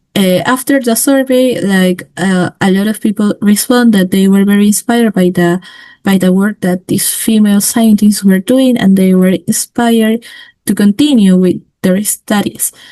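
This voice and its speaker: A woman with a Spanish accent, medium-pitched and dark and mellow in tone, at a moderate pace with ordinary pitch variation, in a dry, close sound with no echo. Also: very even loudness. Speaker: student and women-in-science initiative founder. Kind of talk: webinar presentation. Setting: online webinar. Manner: halting, many fillers.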